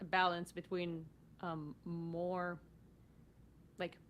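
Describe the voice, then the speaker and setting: A woman's fairly low voice with a non-native accent, very slow and in a monotone, flat intonation. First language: not English. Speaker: podcast host. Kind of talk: casual chat. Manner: halting.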